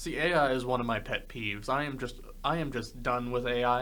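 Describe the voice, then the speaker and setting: A man talks at a fairly quick pace with audible room echo around him. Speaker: podcast host. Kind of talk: casual chat.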